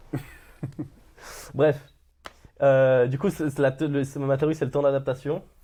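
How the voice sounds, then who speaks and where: The voice has a dark, mellow tone and flat, monotone intonation. It moves at a very slow pace with long, frequent pauses. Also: man, fairly high pitch for a man. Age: 20s. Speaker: podcast host. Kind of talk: coaching conversation. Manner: loud; casual, hesitant.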